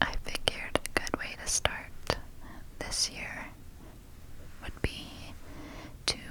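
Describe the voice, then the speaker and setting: Very slowly, a woman whispers. There is noticeable noise in the background. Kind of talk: ASMR page-flipping guidebook reading. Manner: whispered.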